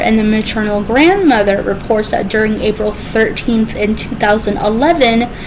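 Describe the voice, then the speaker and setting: Fairly high-pitched woman's voice at a moderate pace, ordinary pitch variation, and noticeable background noise. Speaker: true crime YouTuber. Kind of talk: true crime narration to camera. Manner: stuttering.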